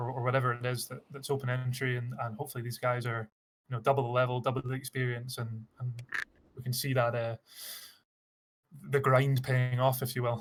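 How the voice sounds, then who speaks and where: A man speaks at a medium pitch and a fairly quick pace in a somewhat breathy, monotone, flat delivery broken by long, frequent pauses. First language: not English. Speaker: esports caster. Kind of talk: live commentary.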